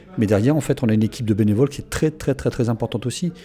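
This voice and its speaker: A man's medium-pitched voice at a very fast pace. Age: 60s. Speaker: event association volunteer. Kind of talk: radio interview.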